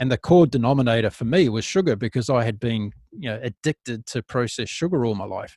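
A man with a New Zealand accent talks at a very fast pace with hardly any pauses. His medium-pitched voice has ordinary pitch variation, in a dry, close sound with no echo. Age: 50s. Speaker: podcast host. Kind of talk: interview conversation. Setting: remote call.

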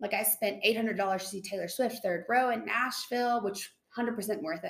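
A woman talks at a very fast pace with a slight Southern US accent. Her voice is medium in pitch, with ordinary pitch variation. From Tennessee. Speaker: nurse. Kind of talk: casual chat.

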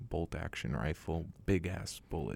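Very deep and low in pitch, a man with an American accent has a dark, mellow tone and ordinary pitch variation. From US West Coast, San Francisco Bay Area. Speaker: acting student. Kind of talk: casual chat. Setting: studio.

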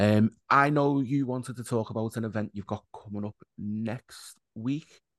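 A man with an unremarkable speaking voice talks at a fairly low pitch with fairly even intonation, recorded dry and close with no echo against a quiet background. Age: 30s. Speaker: podcast host. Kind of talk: casual chat.

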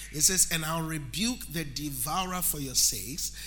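Noticeable noise runs in the background. Over it, a man talks in an animated tone. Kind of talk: sermon. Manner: animated call-and-response preaching, urging the congregation to say amen; rhythmic, emphatic, building repetition and proclaiming blessings.

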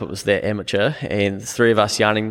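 A man with a New Zealand accent, fairly low-pitched, fairly even in intonation, at a fairly quick pace. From New Zealand, small town. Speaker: accountant and business owner. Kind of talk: casual interview.

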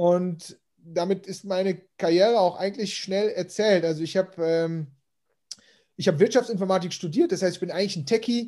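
A man speaks with a high pitch and a dark, mellow tone. His intonation stays fairly even over a very clean recording with a silent background. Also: moderate pace. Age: 40s. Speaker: growth marketing consultant. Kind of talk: casual interview.

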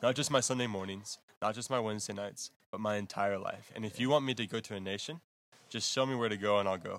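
A man with an American accent talks at a very fast pace. His pitch is fairly low, and the recording is very clean with a silent background. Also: ordinary pitch variation. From Texas. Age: 20s. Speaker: missionary. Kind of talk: interview. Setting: missionary base in Zambia.

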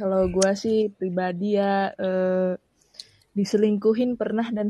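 A woman's somewhat breathy, dark, mellow voice, fairly slow and monotone with flat intonation. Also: big swings in loudness. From Samarinda, East Kalimantan. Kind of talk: casual chat.

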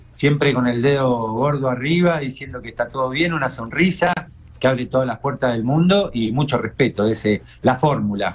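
Speaking with an unremarkable speaking voice, a man keeps a moderate pace at medium pitch, and his pitch varies in an ordinary way. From Argentina, Mar del Plata. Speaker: TV show creator. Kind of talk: casual chat.

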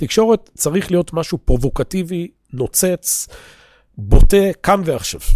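A man talks at a moderate pace in a fairly high pitch, his tone dark and mellow. The recording is very clean and dry, close-miked with no echo and a silent background. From Israel. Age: 40s. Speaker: religious teacher. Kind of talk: lecture. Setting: classroom at an institute, recorded for viewers.

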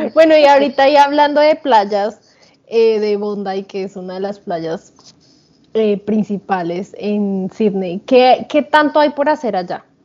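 With an ordinary speaking voice, a woman talks at a fairly high pitch. She speaks fairly slowly with lively intonation. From Colombia. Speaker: podcast co-host. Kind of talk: casual chat.

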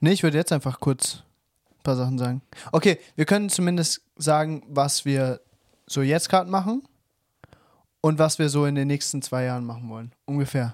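A fairly high male voice at a moderate pace, with ordinary pitch variation, long and frequent pauses, and a dry, close sound with no echo. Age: 20s. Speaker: podcast co-host. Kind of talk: casual chat.

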